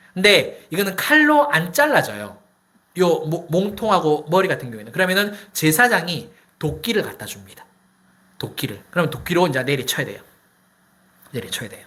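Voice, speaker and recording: In a room with audible echo, a man with a high, bright, sharp voice speaks at a moderate pace in an animated tone with very wide pitch swings. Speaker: pastor. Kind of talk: sermon. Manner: animated, conversational with rhetorical questions.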